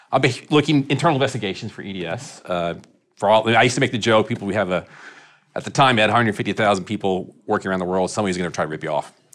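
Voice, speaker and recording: Very fast and lively in intonation, a man rattles through his words. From Texas (Irving, Dallas area). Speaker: construction insurance risk executive. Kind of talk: interview.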